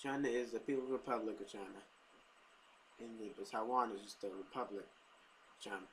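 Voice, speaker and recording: A man's medium-pitched, normal speaking voice at a moderate pace, with ordinary pitch variation. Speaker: Mandarin Chinese learner. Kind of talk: casual talk to camera.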